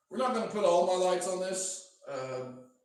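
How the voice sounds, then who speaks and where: High-pitched male speech, fairly slow, with audible room echo. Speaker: DJ equipment demonstrator. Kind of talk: live stream tutorial. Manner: slow, step-by-step.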